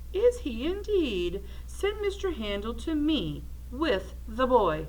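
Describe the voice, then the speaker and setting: This is a put-on character voice at a fairly slow pace. Background noise is clearly audible. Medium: read story.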